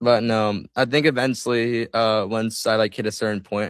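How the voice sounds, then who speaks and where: Fairly low in pitch, a man talks fairly fast in a normal speaking voice. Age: 20s. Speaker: YouTuber. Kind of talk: casual interview.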